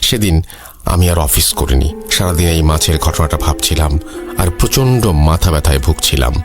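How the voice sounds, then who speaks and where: Music plays behind a man whose very deep, low voice has lively intonation and very even loudness. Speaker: horror story narrator (radio-style host). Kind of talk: horror story narration, reading a listener's email.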